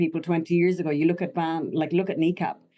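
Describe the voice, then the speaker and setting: Very fast and monotone, a woman speaks in a dark, mellow, fairly low voice with a Connemara accent. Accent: Connemara Irish. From Ireland, Connemara. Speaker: actor. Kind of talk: interview.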